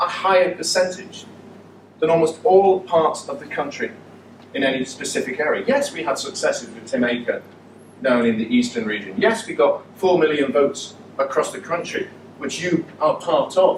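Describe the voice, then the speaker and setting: With a Mancunian accent, a man speaks at a moderate pace in a high voice with very wide pitch swings, over noticeable background noise. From Manchester, northern England. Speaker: politician. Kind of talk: political speech. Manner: animated.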